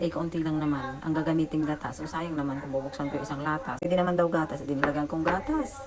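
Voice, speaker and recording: A soft-spoken woman talks at a very fast pace with a very deep, low pitch. Her tone is animated, and background noise is noticeable. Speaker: domestic helper vlogger. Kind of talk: casual vlog. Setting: indoors at employer's home kitchen. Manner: soft-spoken, keeping voice low; chatty, animated.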